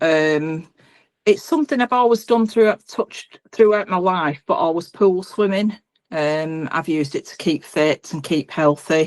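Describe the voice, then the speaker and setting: Speaking at a fairly slow pace, a woman uses lively intonation, and her loudness swings widely. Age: 60s. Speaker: open water swimmer. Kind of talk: interview. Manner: hesitant, many fillers.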